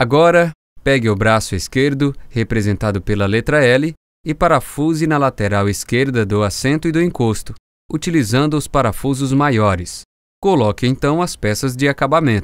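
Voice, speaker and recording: A normal speaking voice from a man at medium pitch, moderate pace and lively intonation, with very even loudness, on a very clean recording with a silent background and a dry, close sound with no echo. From Brazil. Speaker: voice actor. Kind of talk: explainer video narration.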